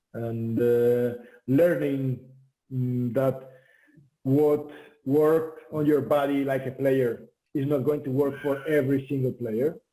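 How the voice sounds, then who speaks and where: Using a Spanish accent, a man speaks in a dark, mellow tone at medium pitch with fairly even intonation. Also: long, frequent pauses. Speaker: volleyball head coach. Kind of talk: interview. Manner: halting with many fillers.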